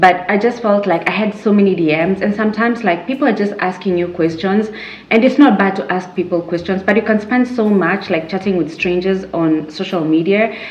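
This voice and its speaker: Over noticeable background noise, a woman speaks at a medium pitch with ordinary pitch variation, a fairly quick pace and hardly any pauses. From Kenya. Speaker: YouTuber, lifestyle vlogger. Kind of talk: casual chat to camera. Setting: sitting at home, sipping a drink. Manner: conversational, many fillers and repeats.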